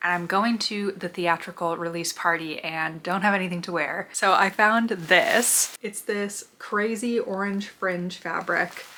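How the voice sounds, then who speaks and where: Over noticeable background noise, a woman with a fairly low pitch speaks in fairly even intonation. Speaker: sewing vlogger. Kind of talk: casual vlog narration.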